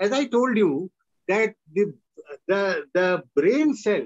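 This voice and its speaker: A high-pitched man with an Indian accent, a very slow pace and ordinary pitch variation, over a quiet background. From northern India. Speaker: retired professor and lecturer; lecturer. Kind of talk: lecture. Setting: video call. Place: home room. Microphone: video call.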